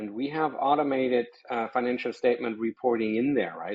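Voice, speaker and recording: A medium-pitched man with a German accent speaks at a fairly quick pace. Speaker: software company presenter. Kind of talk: webinar presentation.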